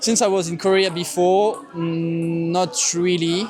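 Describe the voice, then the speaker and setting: A high-pitched male voice over music in the background. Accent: French. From France. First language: French. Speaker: student. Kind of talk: street interview. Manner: hesitant, many fillers.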